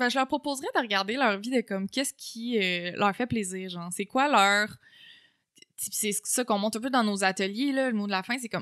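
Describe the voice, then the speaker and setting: A woman's bright, sharp voice over a quiet background. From Quebec. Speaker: communication researcher and lecturer; lecturer. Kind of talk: casual interview. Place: home room. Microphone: studio mic.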